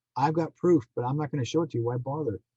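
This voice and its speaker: A very fast, somewhat breathy delivery with a Canadian accent, a dark, mellow tone and a dry, close sound with no echo. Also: man. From Manitoba, Canada. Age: 60s. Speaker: psychic medium and contactee. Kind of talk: podcast interview.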